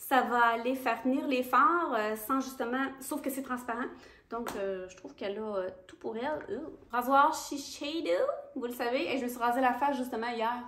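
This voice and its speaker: A woman's high voice in a Quebec accent, moderate in pace, with ordinary pitch variation, big swings in loudness and audible room echo. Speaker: beauty youtuber. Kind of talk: casual product review vlog.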